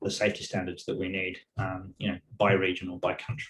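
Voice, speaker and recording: A man with an English accent talks at a fairly quick pace in a somewhat breathy voice. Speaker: tech industry safety manager. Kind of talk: webinar presentation. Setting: online webinar.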